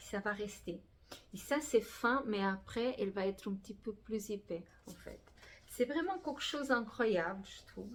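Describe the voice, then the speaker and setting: Loudness swings widely as a woman with a fairly high pitch talks at a fairly slow pace with lively intonation. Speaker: crafting youtuber. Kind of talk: casual vlog talk. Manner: halting, many fillers.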